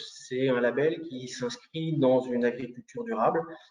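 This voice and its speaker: A man speaks with ordinary pitch variation. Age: 30s. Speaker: farmer. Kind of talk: testimony at a press conference. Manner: halting, many hesitations.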